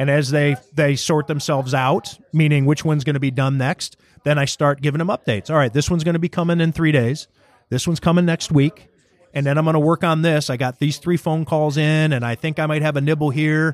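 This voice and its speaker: A normal speaking voice from a man with an American accent, fairly high in pitch, fairly quick, with fairly even intonation, very even loudness and a dry, close sound with no echo. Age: 40s. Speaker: sports writer and radio host. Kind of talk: casual interview chat. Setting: restaurant, recorded in person.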